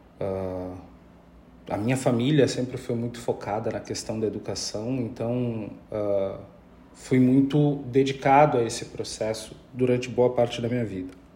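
Audible room echo is present. In it, a man talks at a moderate pace. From Pelotas, southern Brazil. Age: 30s. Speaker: politician and anti-racism activist. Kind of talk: interview.

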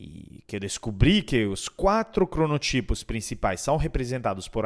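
A man's voice at a fairly slow pace, with very wide pitch swings. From Europe. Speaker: podcast host and speaker on digital transformation. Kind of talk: podcast monologue.

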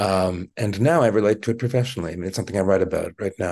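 A man speaks very fast in a very deep, low voice that is somewhat breathy, with a dark, mellow tone. His intonation is fairly even against a quiet background. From Quebec, Montreal. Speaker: journalist. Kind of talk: interview. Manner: halting, many fillers.

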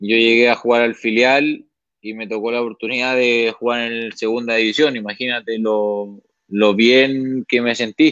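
The speaker is a man at a medium pitch. He keeps a moderate pace in a monotone, flat intonation. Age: 20s. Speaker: professional football goalkeeper. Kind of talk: interview.

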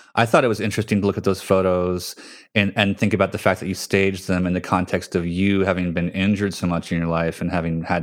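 On a very clean recording with a silent background, a man with an American accent talks at a fairly quick pace, his very deep, low pitch carrying fairly even intonation. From New Jersey. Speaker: podcast host and magazine editor. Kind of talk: casual interview conversation.

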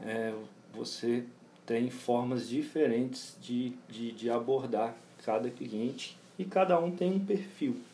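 A man's dark, mellow voice at a very slow pace with lively intonation, plus audible room echo. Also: medium pitch for a man. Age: 30s. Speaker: personal trainer and gym owner. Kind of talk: interview. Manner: halting, many fillers.

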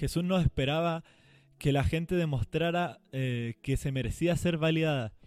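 Recorded very cleanly with a silent background and a dry, close sound with no echo, a man with a fairly high pitch speaks at a moderate pace with ordinary pitch variation. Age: 20s. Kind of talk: casual devotional talk. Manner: animated.

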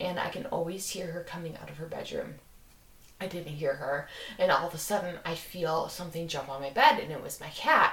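A woman's fairly low voice with ordinary pitch variation and big swings in loudness, amid noticeable background noise. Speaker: podcast host. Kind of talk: casual chat, storytelling.

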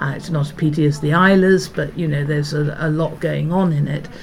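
A very deep, low female voice with fairly even intonation, audible room echo and noticeable background noise. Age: 60s. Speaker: food writer. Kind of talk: casual chat. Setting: small hut by a bay.

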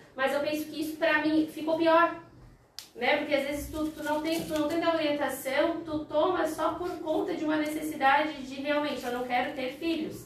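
At a moderate pace and high pitch, a woman speaks in a monotone, flat intonation with audible room echo. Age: 30s. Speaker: teacher. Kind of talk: casual chat.

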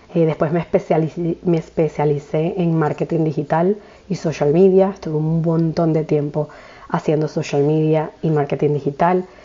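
A woman speaks at a moderate pace in a very deep, low voice, her intonation monotone and flat and her loudness very even, with noticeable background noise. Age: 30s. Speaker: podcast host, spiritual coach. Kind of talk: casual monologue.

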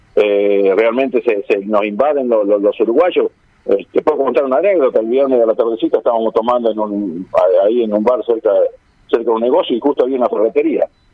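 With a plain, everyday voice, a man talks fairly quickly, his medium pitch varying in an ordinary way. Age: 60s. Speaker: carnival organizer. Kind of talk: radio interview.

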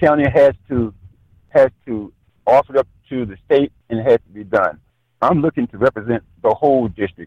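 A man with a medium-pitched, unremarkable speaking voice, moderate pace, ordinary pitch variation and big swings in loudness. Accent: American. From Maryland. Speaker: political candidate, retired Marine. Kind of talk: interview.

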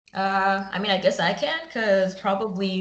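There is noticeable background noise. Over it, a woman speaks at a medium pitch. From Zimbabwe. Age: 30s. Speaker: podcast co-host, former lawyer. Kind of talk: casual interview. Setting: remote call.

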